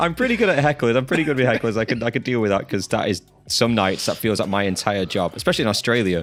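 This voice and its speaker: With an English accent, a man at medium pitch talks very fast, his intonation lively and his loudness very even. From England. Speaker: podcast host and touring musician. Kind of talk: casual chat.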